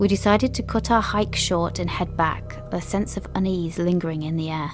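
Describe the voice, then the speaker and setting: Music plays behind a woman whose fairly low voice shows ordinary pitch variation. She talks at a moderate pace. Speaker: podcast host. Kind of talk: ghost story narration.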